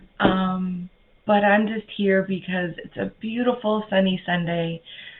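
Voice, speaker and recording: Over noticeable background noise, a woman speaks fairly slowly at a medium pitch with fairly even intonation. Her loudness swings widely. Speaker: spiritual channeler. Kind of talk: live stream chat; guided meditation. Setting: live video stream. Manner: casual, halting.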